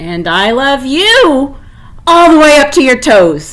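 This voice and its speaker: Putting on a character voice, a woman speaks high and at a fairly slow pace, her pitch making very wide swings. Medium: read story. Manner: warm, gentle, affectionate.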